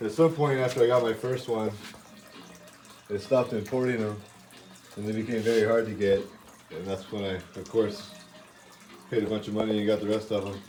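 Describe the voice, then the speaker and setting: The speaker mumbles at a fairly quick pace over noticeable background noise. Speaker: reptile keeper and breeder. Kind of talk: casual show-and-tell video. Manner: mumbling.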